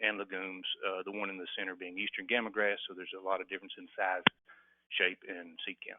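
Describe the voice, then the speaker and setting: A man with a fairly low pitch speaks at a fairly quick pace. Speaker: webinar presenter, native seed producer. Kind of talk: webinar presentation. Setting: online webinar. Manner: fast.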